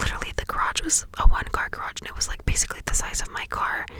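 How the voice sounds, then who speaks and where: Whispering at a fairly quick pace, a woman speaks over noticeable background noise. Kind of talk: ASMR whisper ramble. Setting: inside a parked car. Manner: whispered, soft-spoken.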